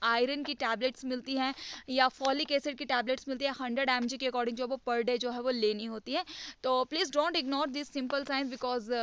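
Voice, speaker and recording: Her high-pitched voice stays monotone and flat as the woman speaks at a moderate pace. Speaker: teacher. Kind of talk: lecture.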